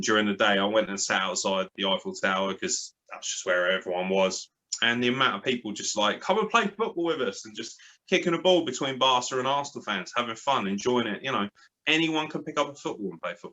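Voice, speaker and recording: Speaking at a very fast pace, a man swings his pitch very widely. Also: medium pitch for a man. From southern England, born in Lincoln. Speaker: graphic designer and wrestling podcaster. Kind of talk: casual interview. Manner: animated.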